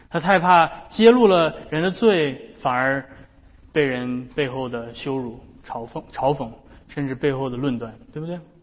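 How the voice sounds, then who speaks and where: A plain, everyday voice moves at a fairly slow pace with big swings in loudness. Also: man, fairly high pitch for a man, ordinary pitch variation. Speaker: pastor. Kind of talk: sermon.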